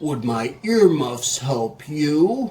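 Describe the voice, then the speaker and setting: A man bellows in a put-on character voice at a fairly high pitch. The delivery is booming. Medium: read story. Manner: roaring, booming.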